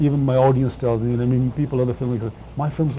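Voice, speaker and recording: With a Punjabi accent, a man talks at a medium pitch. His intonation is fairly even, and there is noticeable background noise. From England. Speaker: film director. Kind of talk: interview. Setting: studio. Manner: halting, many fillers.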